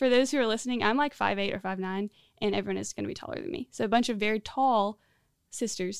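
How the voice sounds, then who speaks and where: A woman with an American accent and a fairly high pitch, in a dry, close sound with no echo on a very clean recording with a silent background. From Central Florida. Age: 20s. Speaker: discipleship school student. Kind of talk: interview. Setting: studio with headset.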